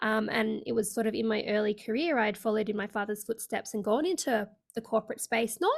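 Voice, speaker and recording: In an Australian accent, a woman speaks at a fairly quick pace with a fairly high pitch and ordinary pitch variation. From Australia (Sydney). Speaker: leadership coach. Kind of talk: interview.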